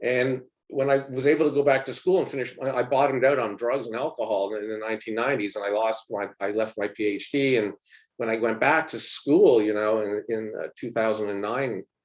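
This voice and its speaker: Fairly quick delivery from a man at medium pitch, with ordinary pitch variation and a Canadian accent. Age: 60s. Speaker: professor. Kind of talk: panel talk. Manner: halting.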